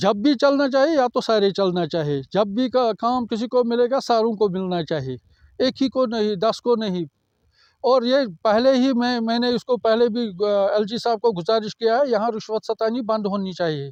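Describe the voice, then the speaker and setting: A man speaks with a high pitch and ordinary pitch variation against a quiet background. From Srinagar, Kashmir. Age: old. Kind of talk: interview answer.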